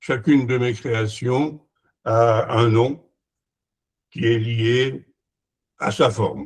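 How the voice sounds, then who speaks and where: Speaking at a very slow pace with long, frequent pauses, a somewhat breathy man shows ordinary pitch variation. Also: medium pitch for a man. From France. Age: 80s+. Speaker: retired engineer and sundial maker. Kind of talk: conference presentation. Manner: halting, many hesitations.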